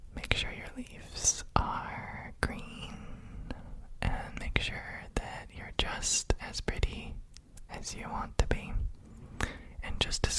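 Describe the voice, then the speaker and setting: A man's very slow, soothing whisper with big swings in loudness over noticeable background noise. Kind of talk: ASMR roleplay whisper, caring for a house plant. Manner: whispered, soft-spoken, slow, soothing.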